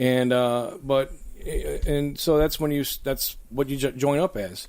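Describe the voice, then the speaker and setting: Speaking with an American accent at a moderate tempo, a man comes through on a very clean recording with a silent background. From western New York (Lackawanna). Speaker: political candidate, former mayor. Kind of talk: interview. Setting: studio.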